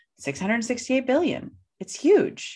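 A woman talks with an American accent. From US Midwest, St. Louis. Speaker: coach and keynote speaker. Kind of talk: casual interview.

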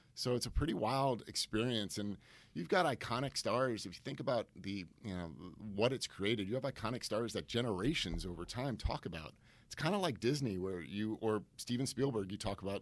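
A man with an American accent talks at a fairly quick pace in a fairly low voice with ordinary pitch variation. The recording is very clean, with a silent background. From Connecticut, US. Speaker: marketing executive. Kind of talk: casual interview chat.

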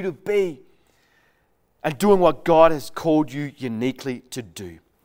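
With an Australian accent, a man talks at a fairly slow pace, his intonation lively and his loudness swinging widely. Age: 40s. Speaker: pastor. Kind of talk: sermon. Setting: recorded for online church.

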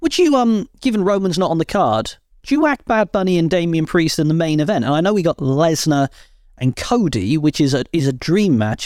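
A man with a British accent and a high pitch talks at a moderate pace with lively intonation, recorded dry and close with no echo on a very clean recording against a silent background. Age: 30s. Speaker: wrestling podcast host. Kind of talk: casual chat.

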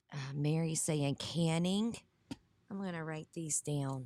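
Speaking with a Southern US accent, a woman with a very deep, low pitch talks at a fairly slow pace with ordinary pitch variation, in a dry, close sound with no echo. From US South. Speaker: online Bible study host. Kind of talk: livestream Bible study with chat. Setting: live stream.

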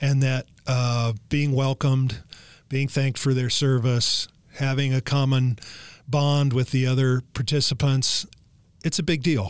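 An ordinary speaking voice with an American accent moves at a fairly slow pace. The intonation is fairly even and the loudness very even. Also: man, medium pitch for a man. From Los Angeles, California. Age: 60s. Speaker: golf instructor. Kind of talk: interview.

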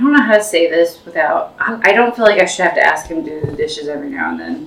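Very fast speech with very wide pitch swings over noticeable background noise. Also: woman. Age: 40s. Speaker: podcast co-host. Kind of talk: casual family chat.

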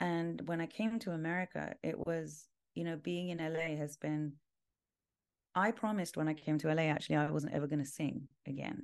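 A woman with a London accent speaks at a fairly quick pace in a very deep, low pitch. Her pitch varies in an ordinary way against a quiet background. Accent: British (London). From London, England. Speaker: world music and mantra artist. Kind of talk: casual interview.

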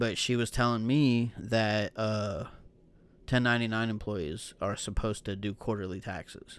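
A normal speaking voice from a man at medium pitch, with fairly even intonation and moderate pace, on a very clean recording with a silent background. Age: 30s. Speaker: podcast co-host. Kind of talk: casual chat.

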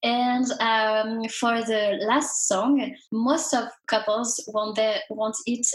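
Speaking with a French accent, a woman uses a fairly high pitch. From France. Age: 20s. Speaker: singer and entrepreneur. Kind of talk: interview.

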